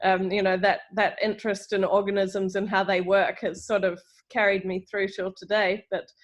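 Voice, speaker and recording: This woman has a medium pitch and a New Zealand accent. Her intonation is flat and monotone. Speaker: professor. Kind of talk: lecture.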